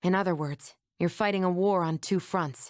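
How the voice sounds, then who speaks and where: A woman's put-on character voice, medium in pitch, at a moderate pace. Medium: video game.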